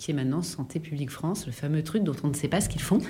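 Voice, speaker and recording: A woman speaks, and audible room echo surrounds her voice. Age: 40s. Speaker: health network founder, former public health official. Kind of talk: casual interview. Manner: animated.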